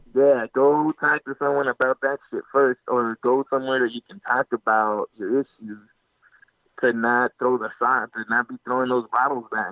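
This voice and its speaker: A man speaks in a normal speaking voice at medium pitch, his intonation fairly even. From Mexico, Guadalajara-born, raised in California. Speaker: army veteran, actor and producer. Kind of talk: casual interview answer.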